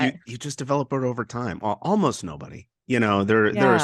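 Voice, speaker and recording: Speaking at a very fast pace, a man at medium pitch uses lively intonation with vocal fry. The sound is dry and close, with no echo. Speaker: radio broadcaster. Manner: sports commentator.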